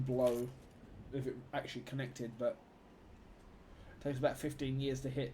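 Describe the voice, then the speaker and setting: With a London accent, a man talks at a fairly quick pace with long, frequent pauses, his voice somewhat breathy and medium in pitch, his intonation monotone and flat. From London, England. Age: 30s. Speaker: gaming streamer. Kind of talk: live gameplay stream chat. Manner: casual, chatty.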